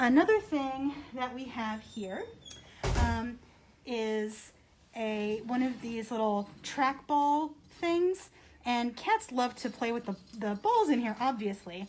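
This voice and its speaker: A woman speaks softly in a high pitch. Her pace is very slow. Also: ordinary pitch variation. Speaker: animal shelter behavior manager. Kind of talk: live demonstration talk. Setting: animal shelter, livestream. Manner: soft-spoken. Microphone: muffled by face mask, hard to hear.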